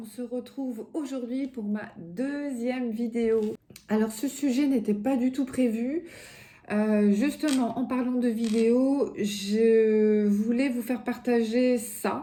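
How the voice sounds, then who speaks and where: A woman with a high pitch speaks at a very slow pace, her intonation fairly even. Noticeable background noise runs under her voice. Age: 50s. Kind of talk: casual talk to camera.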